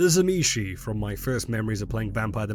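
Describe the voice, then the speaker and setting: A man talks at a very fast pace, his pitch fairly low. There is music in the background. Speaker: lore narrator. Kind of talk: game lore commentary.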